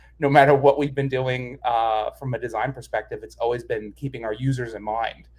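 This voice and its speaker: In a New York accent, a man talks with a somewhat breathy voice. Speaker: design manager. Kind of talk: interview explanation.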